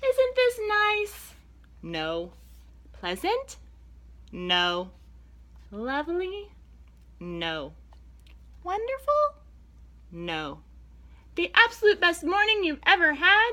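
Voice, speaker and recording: Using a put-on character voice at an extremely high pitch, a woman speaks at a very slow pace with long, frequent pauses. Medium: read story. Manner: eager, bossy.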